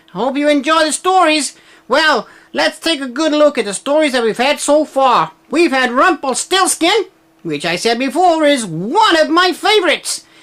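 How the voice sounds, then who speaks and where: A cheerful put-on character voice, high-pitched, at a moderate pace. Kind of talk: children's show host. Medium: read story. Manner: cheerful, friendly.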